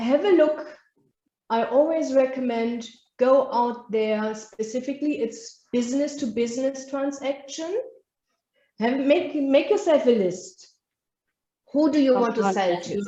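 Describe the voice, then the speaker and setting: A woman with a German accent, high in pitch with a dark, mellow tone, fairly slow with ordinary pitch variation and long, frequent pauses. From Germany. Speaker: business trainer. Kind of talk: masterclass lecture. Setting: live online webinar.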